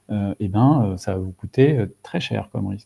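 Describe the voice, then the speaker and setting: The speaker is a man. His tone is dark and mellow. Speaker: data and AI consultant. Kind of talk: webinar presentation. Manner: fast; hesitant, many fillers.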